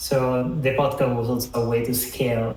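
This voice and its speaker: A man with an Italian accent and monotone, flat intonation, amid noticeable background noise and audible room echo. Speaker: designer and mentor. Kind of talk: online talk. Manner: halting.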